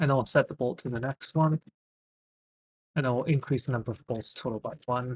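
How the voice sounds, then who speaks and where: Heard dry and close with no echo, a somewhat breathy man talks at a fairly quick pace with fairly even intonation and long, frequent pauses. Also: medium pitch for a man. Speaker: programming streamer. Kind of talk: live coding stream. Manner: halting with fillers.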